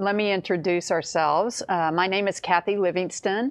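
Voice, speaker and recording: A woman at medium pitch, with ordinary pitch variation, has a plain, everyday voice. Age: 60s. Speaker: mental health counselor. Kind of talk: casual chat.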